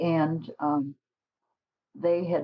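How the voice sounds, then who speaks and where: Her pitch rises and falls in an ordinary way as this woman talks. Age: 80s+. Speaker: nun, former hospital worker. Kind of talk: interview answer.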